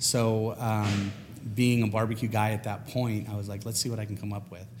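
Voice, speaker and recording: Audible room echo surrounds a man with a fairly low pitch. He speaks at a moderate pace with fairly even intonation. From California, US. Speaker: spice rub maker. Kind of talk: casual interview.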